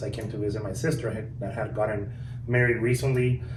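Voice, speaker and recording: A man with a Guatemalan accent speaks at a fairly quick pace in a medium pitch. His intonation is flat and monotone, and room echo is audible. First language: Spanish. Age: 30s. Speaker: car dealership manager. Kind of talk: podcast interview.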